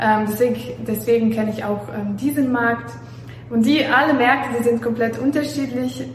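A woman talks with fairly even intonation amid audible room echo and noticeable background noise. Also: fairly high pitch for a woman, moderate pace. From Belarus. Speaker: real estate agent and company founder. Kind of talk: informational talk, video audio. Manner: hesitant with fillers.

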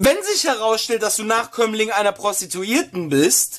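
Over noticeable background noise, a man talks at a moderate pace in a high pitch with lively intonation. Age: 20s. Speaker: podcast co-host. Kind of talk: casual chat.

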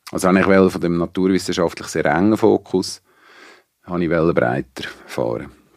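At a moderate pace with long, frequent pauses, a man speaks in a very deep, low voice with vocal fry and ordinary pitch variation, the sound dry and close with no echo. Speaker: venue operator and sound technician. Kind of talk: casual interview. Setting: studio.

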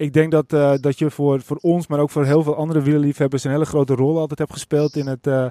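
Fairly high in pitch yet dark and mellow in tone, a man speaks at a fairly quick pace, recorded dry and close with no echo. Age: 30s. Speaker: podcast host. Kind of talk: casual chat. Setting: outdoors.

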